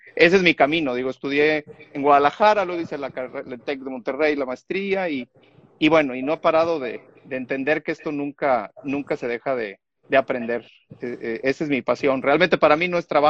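A man with an unremarkable speaking voice talks fairly quickly at a fairly high pitch with ordinary pitch variation, the sound dry and close with no echo. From Mexico, Chiapas. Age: 50s. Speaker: software and digital transformation consultant. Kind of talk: casual chat.

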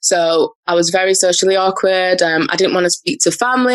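A woman with a medium pitch talks at a fairly quick pace in an unremarkable speaking voice. Her pitch variation is ordinary. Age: 20s. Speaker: personal brand coach. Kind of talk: interview conversation.

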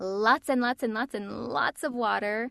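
A woman speaks with an American accent at a medium pitch and fairly slow pace. Her pitch varies in an ordinary way, and the background is quiet. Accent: New York accent largely unlearned. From Long Island, New York. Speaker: voice actor. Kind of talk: casual interview chat.

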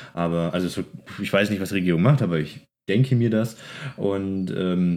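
Very deep and low in pitch, a man's voice carries a dark, mellow tone. He talks at a fairly quick pace. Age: 20s. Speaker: podcast co-host. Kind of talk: casual chat.

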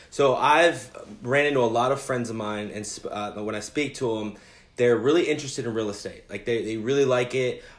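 A man of medium pitch at a fairly quick pace, with ordinary pitch variation and audible room echo. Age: 30s. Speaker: podcast host. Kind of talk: interview. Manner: halting, many fillers.

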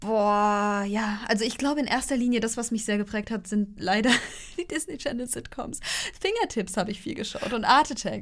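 A woman talks at a moderate speed in a fairly high voice, with ordinary pitch variation. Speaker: podcast co-host. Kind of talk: casual chat. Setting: recording in the same room, single shared mic.

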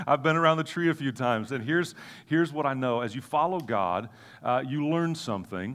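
A man with a fairly high pitch and lively intonation, on a very clean recording with a silent background. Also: fairly quick pace. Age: 40s. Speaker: guest preacher. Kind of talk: sermon. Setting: church service with audience. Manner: animated.

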